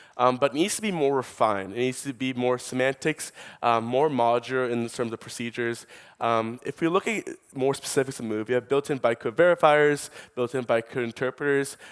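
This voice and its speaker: In a New York accent, a man with a medium pitch speaks fairly quickly with ordinary pitch variation, the sound dry and close with no echo and the recording very clean against a silent background. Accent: New York American. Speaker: startup co-founder. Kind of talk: conference talk. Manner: fast.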